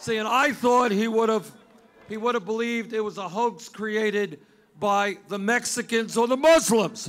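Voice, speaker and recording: A man's raised, projected voice at a moderate pace. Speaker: candidate. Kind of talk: campaign rally speech. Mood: mocking, sarcastic. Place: street. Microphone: podium.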